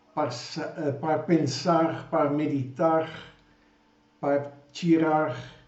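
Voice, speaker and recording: In a room with audible echo, a man with fairly high pitch speaks very slowly in a flat monotone. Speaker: preacher. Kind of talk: sermon. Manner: halting.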